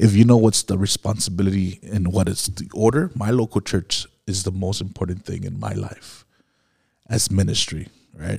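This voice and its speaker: Fairly low male voice with an American accent, vocal fry, a moderate pace and fairly even intonation. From Miami, Florida. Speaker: pastor. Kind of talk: casual chat. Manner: halting, many fillers.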